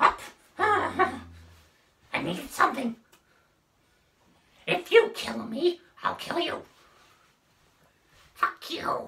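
Very slow and extremely high-pitched, the voice comes with long, frequent pauses. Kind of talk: comic overacting, voice test. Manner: shrill, frantic, paranoid.

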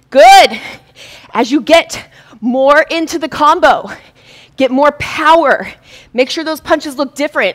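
A woman speaks in a high pitch with ordinary pitch variation at a fairly slow pace. She leaves long, frequent pauses, and the background is quiet. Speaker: fitness instructor. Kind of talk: live-streamed boxing workout class, coaching with rhythmic cues and combo calls. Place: studio.

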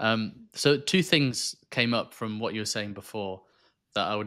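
A man talks at a moderate pace with a fairly low pitch. His tone is bright and sharp against a quiet background. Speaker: podcast host. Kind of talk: casual interview. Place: home room. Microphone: studio mic.

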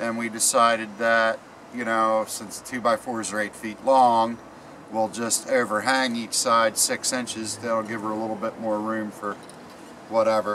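A man talks fairly slowly in a monotone, flat intonation while noticeable background noise carries on. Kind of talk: tutorial. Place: garden. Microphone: camera far.

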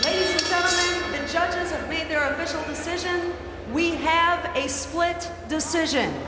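Over loud background noise and audible room echo, a woman speaks at a moderate pace. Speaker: ring announcer. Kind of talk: boxing ring announcement of judges' scores. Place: stadium. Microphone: handheld.

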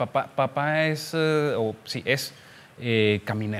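A man is talking. His pitch varies in an ordinary way. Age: 30s. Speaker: civil engineer, surveyor; podcast guest. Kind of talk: casual chat. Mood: relaxed, reminiscing. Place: office. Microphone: studio mic.

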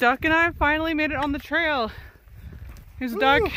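The sound is dry with no echo, and light background noise is present. The speaker keeps a moderate pace. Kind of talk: casual vlog chat. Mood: excited, happy. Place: open country. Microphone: phone near.

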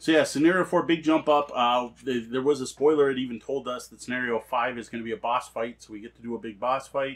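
A man at medium pitch, fast pace, few pauses, and fairly even intonation.

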